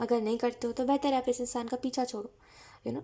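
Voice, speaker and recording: The woman's voice is high in pitch with a dark, mellow tone. The recording is very clean, with a silent background. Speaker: tarot reader. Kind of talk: tarot reading. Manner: casual, mixes English phrases.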